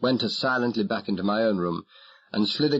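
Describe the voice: The speech is plain reading aloud. It is read straight through.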